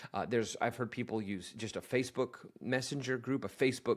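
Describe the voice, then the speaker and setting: A man talks at a fairly quick pace in a medium pitch. The recording is very clean, with a silent background. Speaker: office management coach. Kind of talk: tutorial. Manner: fast; casual with filler words.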